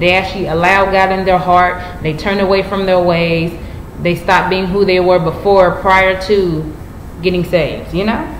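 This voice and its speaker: Audible room echo and light background noise surround a monotone, flat intonation. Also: woman. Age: 20s. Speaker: YouTuber. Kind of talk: personal vlog monologue. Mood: earnest, preachy. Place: home room. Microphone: webcam.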